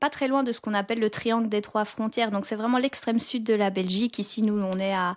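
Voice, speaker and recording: A woman's plain, everyday voice, fairly high in pitch, at a fairly quick pace with hardly any pauses and fairly even intonation, on a very clean recording with a silent background. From southern Belgium (near French border). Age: 30s. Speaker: podcaster and real estate investor. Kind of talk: interview conversation.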